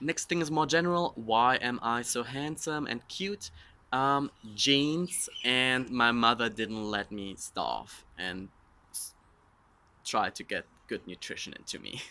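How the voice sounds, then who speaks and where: Speaking with a German accent at a fairly slow pace, a man of medium pitch uses a bright, sharp tone, lively intonation and big swings in loudness. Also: very clean recording, silent background. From Germany. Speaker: social media influencer. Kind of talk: casual Q&A vlog.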